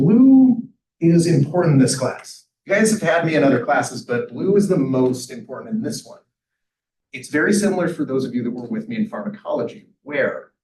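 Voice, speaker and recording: A man speaks at a fairly quick pace, somewhat breathy, with lively intonation. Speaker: professor. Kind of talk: lecture. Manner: fast; animated.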